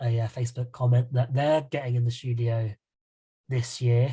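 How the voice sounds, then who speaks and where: The man's somewhat breathy voice carries a monotone, flat intonation. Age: 30s. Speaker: podcast host. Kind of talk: casual chat.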